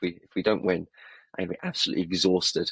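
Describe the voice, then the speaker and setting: A man with an English accent speaks at a fairly quick pace in a very deep, low pitch. The sound is dry and close, with no echo. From England. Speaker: football podcast co-host. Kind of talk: casual chat. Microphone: poor mic, bad audio.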